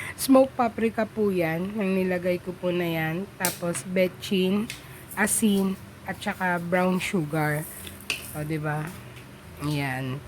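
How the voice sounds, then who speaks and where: Her medium-pitched voice moves at a very slow pace as the woman speaks. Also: ordinary pitch variation. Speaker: home cooking vlogger. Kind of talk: cooking tutorial voiceover. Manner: casual, halting.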